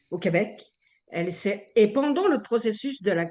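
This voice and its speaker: A woman at a moderate pace, medium in pitch, with ordinary pitch variation. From Algeria. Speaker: radio columnist. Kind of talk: casual radio discussion.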